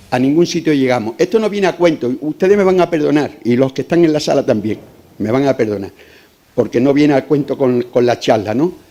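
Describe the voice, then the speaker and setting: A fairly high-pitched man's voice with lively intonation at a fairly quick pace, over noticeable background noise. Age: 60s. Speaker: audience member, retired cook. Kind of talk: public Q&A question. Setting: lecture hall with audience. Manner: impassioned.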